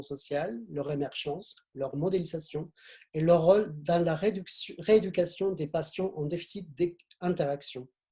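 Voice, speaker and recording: With a slight Argentine accent, a man talks at a fairly slow pace, his high pitch paired with a dark, mellow tone and ordinary pitch variation. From Argentina. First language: Spanish (speaking French). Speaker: webinar moderator. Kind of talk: speaker introductions in a webinar. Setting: online video conference. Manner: halting, many repetitions.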